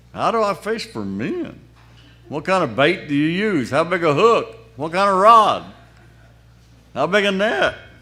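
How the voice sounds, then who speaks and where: Raised and projected, a man's high-pitched voice has a bright, sharp tone and lively intonation, moving at a fairly slow pace with long, frequent pauses and audible room echo. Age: 80s+. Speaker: lay speaker at church festival. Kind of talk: sermon.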